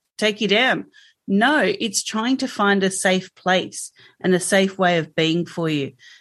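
A fairly slowly paced voice with an Australian accent, ordinary pitch variation and a quiet background. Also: woman, medium pitch for a woman. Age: 50s. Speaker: health coach. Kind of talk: interview. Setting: video call.

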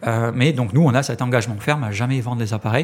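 This man's voice is somewhat breathy. His pitch rises and falls in an ordinary way. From France, Ariège. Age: 30s. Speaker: cooperative co-founder. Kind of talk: interview. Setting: office. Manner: halting.

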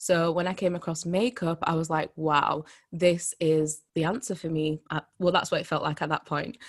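A woman with a Yorkshire accent speaks at a moderate pace. Her pitch is fairly low, with ordinary variation. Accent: Yorkshire English, mild. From Leeds, Yorkshire, England. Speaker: personal brand coach. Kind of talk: casual interview chat.

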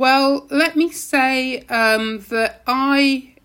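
The speaker is a woman. She has a British accent. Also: very clean recording, silent background. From UK, Caribbean family. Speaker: university lecturer in public health. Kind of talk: podcast interview.

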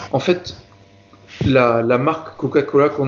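Noticeable background noise runs under this recording. A man speaks at medium pitch and a fairly slow pace with fairly even intonation. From southern France, Marseille area. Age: 20s. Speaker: health and safety manager. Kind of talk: interview conversation. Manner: hesitant, many fillers and repetitions.

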